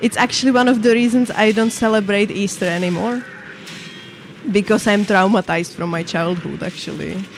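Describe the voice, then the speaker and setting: Speaking at a fairly quick pace with a non-native accent, a woman of medium pitch shows ordinary pitch variation over noticeable background noise. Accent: foreign. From Czech Republic, Moravia. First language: Czech. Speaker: gaming streamer. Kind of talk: casual chat. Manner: halting.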